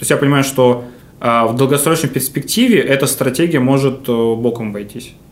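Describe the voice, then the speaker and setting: A man with a fairly high pitch speaks in a room with audible echo. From Novosibirsk, Russia. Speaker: hotel manager. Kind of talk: casual interview. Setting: hotel room studio.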